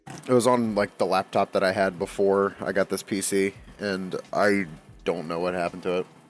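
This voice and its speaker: Music plays in the background while a man speaks at a moderate pace and a fairly low pitch. His intonation is monotone and flat, and the sound is dry and close with no echo. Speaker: gaming streamer. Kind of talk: casual live-stream chat. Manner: halting, many fillers and repeats.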